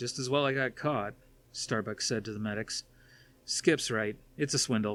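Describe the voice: The text is read in a plain way, and the pitch moves the usual amount.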